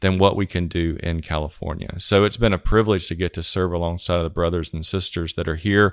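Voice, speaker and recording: In a very clean recording with a silent background and a dry, close sound with no echo, a man with a very deep, low voice and a Southern US accent talks very fast in a flat monotone. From US South. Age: 40s. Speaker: church planting strategist. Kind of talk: podcast interview.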